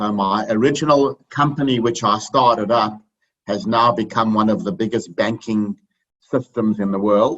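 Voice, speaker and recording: Speaking at a fairly low pitch with ordinary pitch variation, a man has a South African accent. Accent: South African, noticeable. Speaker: finance speaker, accountant. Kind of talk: webinar presentation. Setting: video call.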